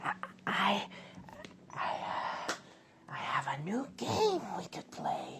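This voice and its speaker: In a whispered, put-on character voice, the speaker goes at a fairly slow pace with long, frequent pauses. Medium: read story. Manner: stammering, coaxing.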